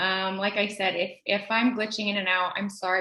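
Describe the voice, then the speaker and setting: This is a woman speaking. Her pitch is medium. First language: heritage Spanish speaker, also English at home. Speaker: language education researcher. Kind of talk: academic presentation. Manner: many fillers and hesitations. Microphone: connection may glitch due to thunderstorms.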